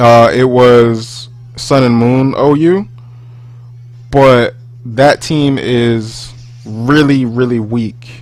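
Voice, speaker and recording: Speaking very slowly with long, frequent pauses, a man at a medium pitch keeps fairly even intonation amid noticeable background noise and audible room echo. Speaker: gaming YouTuber. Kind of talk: gameplay commentary. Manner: loud; rambling, halting with fillers.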